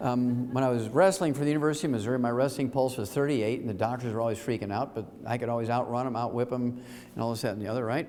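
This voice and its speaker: A man speaks at a very fast pace with an American accent, his pitch medium and his pauses hardly any. Audible room echo surrounds the recording. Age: 70s. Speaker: health lecturer. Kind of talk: lecture. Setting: stage with audience. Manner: animated.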